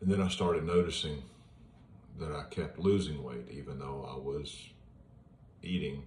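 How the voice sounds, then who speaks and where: Heard with audible room echo, a man with a very deep, low pitch and vocal fry speaks at a moderate pace, with ordinary pitch variation, big swings in loudness, and long, frequent pauses. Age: 60s. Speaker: retired police officer sharing his cancer journey. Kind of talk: personal vlog monologue. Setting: at home in front of an iPad. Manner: casual, with hesitations.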